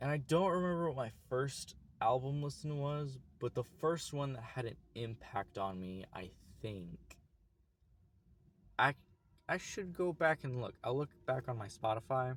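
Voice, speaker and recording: A man speaks with an American accent, somewhat breathy and with lively intonation. His pace is fairly slow, broken by long, frequent pauses. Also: medium pitch for a man. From US, Oklahoma. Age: 20s. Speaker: YouTuber. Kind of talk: casual vlog monologue. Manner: casual, halting with restarts.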